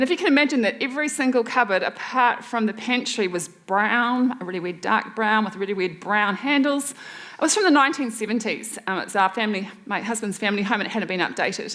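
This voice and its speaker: A woman with a New Zealand accent and a fairly high pitch speaks at a fairly quick pace, with hardly any pauses and ordinary pitch variation. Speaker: waste reduction expert and speaker. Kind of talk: presentation talk. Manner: fast.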